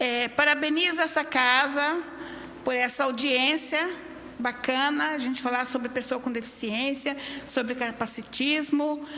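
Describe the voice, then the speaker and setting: A woman raises and projects her high-pitched voice. Noticeable background noise can be heard. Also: fairly even intonation, fairly slow pace. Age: 60s. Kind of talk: public hearing statement.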